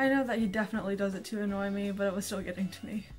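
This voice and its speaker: A woman talks very fast and quietly. Music plays in the background. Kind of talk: casual talk to camera.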